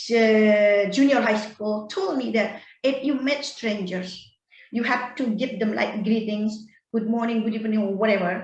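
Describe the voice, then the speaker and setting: A woman's voice at a moderate pace, with audible room echo. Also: fairly even intonation. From Bali, Indonesia. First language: Indonesian or Balinese. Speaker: storytelling guest, English learner. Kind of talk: personal story in casual online chat. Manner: halting, many fillers and repeats.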